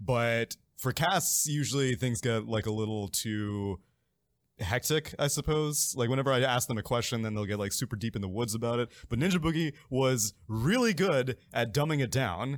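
An ordinary speaking voice at a moderate pace, with ordinary pitch variation, in a very clean recording with a silent background. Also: man, medium pitch for a man. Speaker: esports caster guest. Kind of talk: casual chat.

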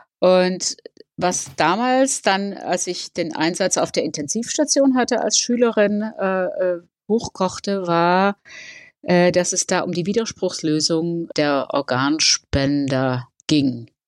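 The speaker moves at a very slow pace with very wide pitch swings. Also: woman, medium pitch for a woman. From Netherlands. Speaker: nurse, former anthroposophist. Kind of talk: interview about life story. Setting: remote call. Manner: halting, with many fillers.

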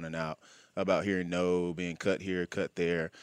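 Very deep and low in pitch, a man speaks at a moderate pace with an Alabama accent. The recording is very clean, with a silent background. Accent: Southern US (Alabama). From US South, Birmingham, Alabama. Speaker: pro football player. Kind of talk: interview. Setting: studio.

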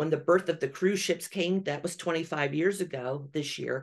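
A woman speaks at a fairly slow pace with a fairly low pitch. It is a plain, everyday voice. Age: 50s. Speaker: travel agency owner. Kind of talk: casual interview.

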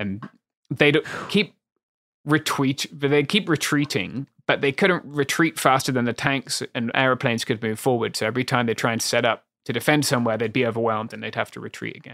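Delivered in a normal speaking voice at a fairly quick pace, the speech has ordinary pitch variation and big swings in loudness, recorded very cleanly against a silent background with a dry, close sound and no echo. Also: man, medium pitch for a man. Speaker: historian. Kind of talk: casual chat.

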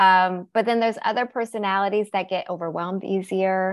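A woman with an American accent speaks at medium pitch and a moderate pace, her intonation fairly even. The recording is very clean with a silent background. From US Pacific Northwest, Seattle. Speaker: therapist and interior designer. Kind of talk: podcast interview.

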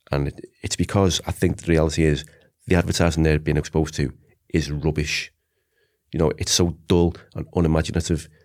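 In a Liverpool accent, a man with a very deep, low pitch talks at a fairly quick pace in a monotone, flat way, with long, frequent pauses. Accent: Scouse. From Liverpool, England. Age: 40s. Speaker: advertising lecturer, former creative director. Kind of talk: casual debate interview.

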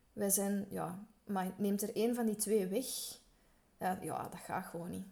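A woman speaks at a moderate pace in a medium pitch, her tone dark and mellow. Her delivery is monotone and flat, with vocal fry. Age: 40s. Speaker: fashion sector worker. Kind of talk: interview. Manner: hesitant, many fillers.

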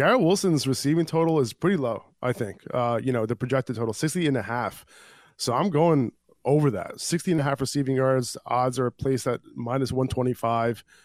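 A man's medium-pitched voice at a fairly quick pace with ordinary pitch variation, a normal speaking voice, on a very clean recording with a silent background. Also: dry, close sound with no echo. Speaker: fantasy football podcast host. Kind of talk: sports betting discussion. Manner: casual, many fillers.

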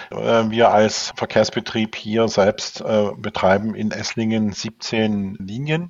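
A man's fairly low voice at a very slow pace. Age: 60s. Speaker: public transport engineer and manager. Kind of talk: interview. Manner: hesitant, frequent fillers.

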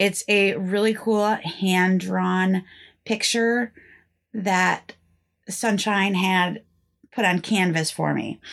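Against a quiet background, a woman with an American accent speaks at a very slow pace with medium pitch, fairly even intonation, very even loudness, and long, frequent pauses. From northeastern Pennsylvania. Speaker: podcast host. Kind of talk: scripted storytelling podcast narration, casual.

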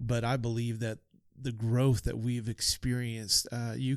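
A man talks at a moderate pace and medium pitch with fairly even intonation, in a plain, everyday voice. The recording is very clean, with a silent background. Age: 40s. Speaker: pastor. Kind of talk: interview conversation.

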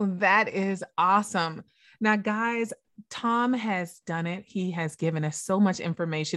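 A woman's upbeat, enthusiastic voice at a medium pitch, with ordinary pitch variation and a moderate pace. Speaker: podcast host. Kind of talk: interview conversation.

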